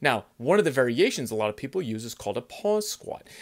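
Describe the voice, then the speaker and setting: A man talks at a fairly quick pace with very wide pitch swings against a quiet background. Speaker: fitness coach. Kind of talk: tutorial. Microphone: phone near.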